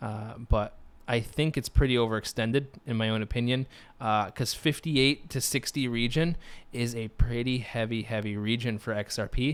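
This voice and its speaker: Medium in pitch, a man talks at a moderate pace in an unremarkable speaking voice with fairly even intonation. The recording is very clean, with a silent background. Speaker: crypto chart analyst. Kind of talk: tutorial. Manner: many fillers (uh, um).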